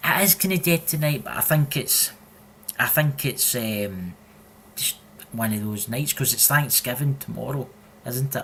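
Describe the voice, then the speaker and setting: A man with a strong Scottish accent talks with lively intonation and long, frequent pauses. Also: medium pitch for a man, moderate pace. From Scotland. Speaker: podcast co-host. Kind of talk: casual chat. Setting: live stream. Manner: animated.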